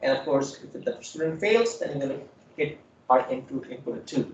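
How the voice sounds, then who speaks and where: Audible room echo surrounds a man speaking at a fairly high pitch with lively intonation. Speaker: programming instructor. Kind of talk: lecture.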